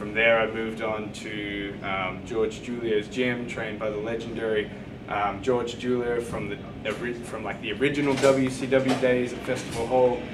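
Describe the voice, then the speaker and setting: A man with an Australian accent talks at a moderate pace at medium pitch, his intonation fairly even. Noticeable background noise and audible room echo fill the recording. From Australia, country Victoria near Melbourne. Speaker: professional wrestler. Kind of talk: interview.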